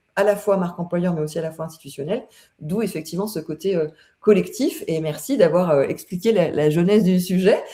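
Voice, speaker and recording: Somewhat breathy and dark, mellow in tone, a woman talks at a fairly quick pace in a fairly low pitch with ordinary pitch variation. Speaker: consultant hosting a LinkedIn live. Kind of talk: live webinar conversation. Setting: online live stream. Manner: hesitant, many fillers.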